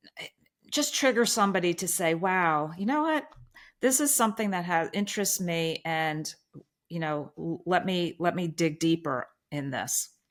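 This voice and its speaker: Lively intonation on a very clean recording with a silent background. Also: woman. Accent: American. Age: 60s. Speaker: eye doctor and diet advocate. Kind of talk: interview testimony. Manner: halting.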